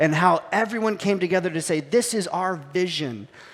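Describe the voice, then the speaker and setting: A man speaks at a fairly quick pace with a high pitch. His tone is animated, with ordinary pitch variation. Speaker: pastor. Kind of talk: sermon. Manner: fast; casual, animated.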